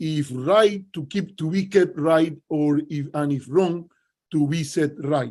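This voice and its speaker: A man with a strong Cuban accent, very slow, with ordinary pitch variation. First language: Spanish. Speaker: political analyst. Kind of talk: panel talk. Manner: hesitant, many fillers.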